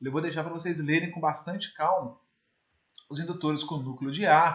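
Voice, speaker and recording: A man's high-pitched voice. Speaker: electrical engineering teacher. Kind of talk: lecture. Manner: fast.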